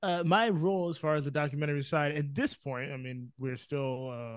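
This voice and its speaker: A man's unremarkable speaking voice, an unremarkable speaking voice at a moderate pace with ordinary pitch variation. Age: 20s. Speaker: film producer and editor. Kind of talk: casual chat.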